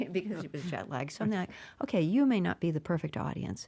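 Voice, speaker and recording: A woman with an American accent talks at a fairly quick pace and fairly low pitch, in a dark, mellow tone with vocal fry. The recording is very clean, with a silent background. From Massachusetts, Brockton (Boston area). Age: 70s. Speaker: stand-up comedian. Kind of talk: interview. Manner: animated.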